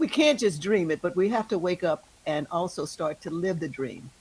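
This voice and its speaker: With an American accent, a woman speaks in an animated tone at a moderate pace, her fairly low pitch showing ordinary variation. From US South, El Dorado. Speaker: jazz singer. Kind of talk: interview storytelling.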